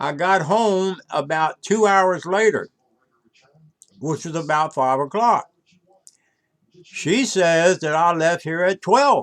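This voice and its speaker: With an American accent, a man speaks at a high pitch with ordinary pitch variation. His pace is very slow, broken by long, frequent pauses. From North Carolina. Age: 80s+. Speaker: vlogger. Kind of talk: personal video monologue.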